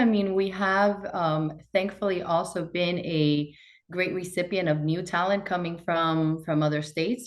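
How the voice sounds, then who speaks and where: A woman talks at a fairly quick pace in a Spanish accent. Her pitch is fairly low, with ordinary variation. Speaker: bank executive. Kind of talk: interview.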